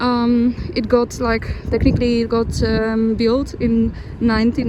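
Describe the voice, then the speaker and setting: A woman's fairly high voice with a non-native accent, amid noticeable background noise and audible room echo. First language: not English. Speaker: travel vlogger. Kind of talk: vlog narration while walking. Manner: halting, frequent restarts.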